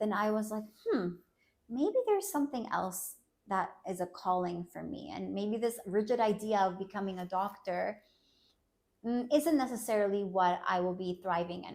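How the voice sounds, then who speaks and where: This woman has an ordinary speaking voice, medium in pitch, with ordinary pitch variation and a moderate pace. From United States (Colombian-born, moved at six). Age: 30s. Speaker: clinical psychologist. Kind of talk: personal interview testimony.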